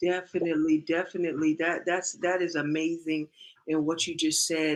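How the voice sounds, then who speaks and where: A woman speaks at a moderate pace in a fairly low voice. Her intonation is flat and monotone. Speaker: livestream host. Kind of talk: casual chat. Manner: loud.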